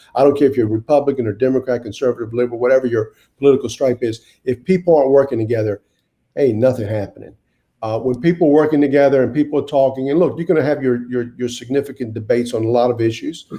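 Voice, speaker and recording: Speaking at a very fast pace, a man with a North Carolina accent has a medium pitch, a dark, mellow tone and fairly even intonation. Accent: Southern US (North Carolina). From US South (Wilmington, North Carolina). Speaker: mayor. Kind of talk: interview. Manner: halting, with many repeated words.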